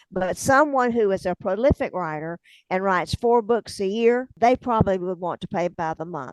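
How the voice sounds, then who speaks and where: The speaker has a strong Southern US accent and lively intonation. The sound is dry and close, with no echo. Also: woman, medium pitch for a woman. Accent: thick Southern drawl. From US South, north Florida (Hamilton County). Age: 70s. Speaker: author, retired teacher. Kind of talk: interview. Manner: conversational.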